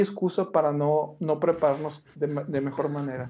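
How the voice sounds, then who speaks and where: An unremarkable speaking voice at a fairly slow pace, with fairly even intonation. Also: man. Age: 40s. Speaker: retirement finance expert and author. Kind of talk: interview.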